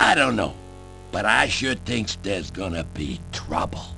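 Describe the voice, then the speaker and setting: A man puts on a rumbling character voice at a fairly low pitch. He speaks at a moderate pace over clear background noise. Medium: video game. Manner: grumbling, ungrammatical.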